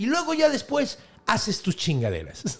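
A man speaks in a Mexican accent at a moderate pace, his tone animated. His pitch swings very widely. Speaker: podcast host and storyteller. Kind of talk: storytelling in casual chat.

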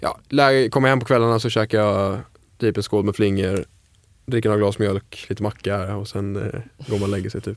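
On a very clean recording with a silent background, a man with a plain, everyday voice speaks at a fairly low pitch with fairly even intonation. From Sweden, Falkenberg (Halland). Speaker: chef. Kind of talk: casual interview.

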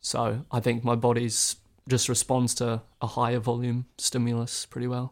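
A man with a New Zealand accent speaks at medium pitch and moderate pace in a flat monotone. The recording is very clean with a silent background. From New Zealand, Northland. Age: 20s. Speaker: ultramarathon runner. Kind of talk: interview.

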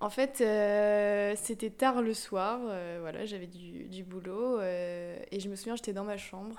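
A woman with an unremarkable speaking voice talks at medium pitch and a fairly slow pace, her intonation fairly even. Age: 20s. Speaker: architecture student. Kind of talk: casual chat.

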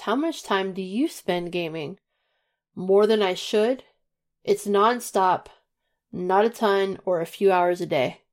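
A woman talks in a plain, everyday voice at medium pitch with ordinary pitch variation. Her pace is fairly slow, on a very clean recording with a silent background. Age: 30s. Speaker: gaming podcast guest. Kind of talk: casual chat.

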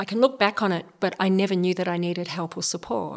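This is an unremarkable speaking voice. The pace is fairly quick. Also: woman. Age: 50s. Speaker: public speaker and speaking coach. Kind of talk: interview.

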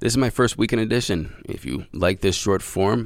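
A man puts on a raspy character voice with fairly low pitch. He talks at a moderate pace. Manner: laughing.

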